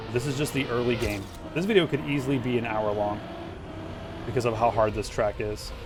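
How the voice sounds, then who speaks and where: A man talks in an animated tone at a fairly quick pace, with ordinary pitch variation. Noticeable background noise runs underneath. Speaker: gaming streamer. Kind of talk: live gameplay commentary. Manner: casual, animated.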